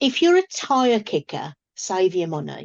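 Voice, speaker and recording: A woman with a British accent and very wide pitch swings. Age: 60s. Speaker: business coach and speaker. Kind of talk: podcast interview.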